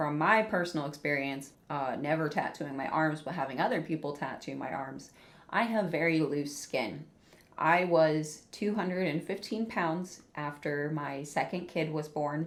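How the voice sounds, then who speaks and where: Audible room echo follows a woman whose voice is very deep and low in pitch. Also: ordinary pitch variation, moderate pace. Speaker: ex-tattoo artist reacting to videos. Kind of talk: casual reaction commentary. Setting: at home. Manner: quiet, keeping voice down.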